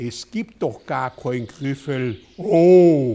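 A man speaks with a Swabian accent. His intonation is lively. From Southwestern Germany. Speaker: politician. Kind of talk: children's story reading. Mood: calm, playful storytelling. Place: home room. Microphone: lapel.

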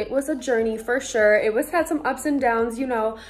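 Over faint music in the background, a woman speaks at a fairly quick pace with a high pitch and ordinary pitch variation. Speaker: vlogger. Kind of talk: casual vlog chat. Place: home room. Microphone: phone near.

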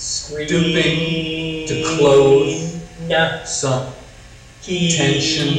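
A man's monotone, flat delivery with an American accent, audible room echo and noticeable background noise. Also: fairly high pitch for a man. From Portland, Oregon. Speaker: sound poet. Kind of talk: sound poetry performance. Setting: video call. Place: hall. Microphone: video call.

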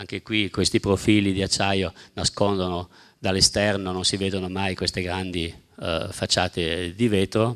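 A man's very deep, low voice with a German accent and a monotone, flat intonation. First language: German (speaking Italian). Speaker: architect. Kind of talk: lecture. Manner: halting.

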